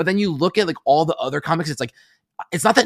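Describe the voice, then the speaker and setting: In a plain, everyday voice, a man with an American accent talks at a fairly high pitch with lively intonation, the sound dry and close with no echo on a very clean recording with a silent background. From New York City, Upper West Side Manhattan. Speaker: comedian. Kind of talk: casual chat.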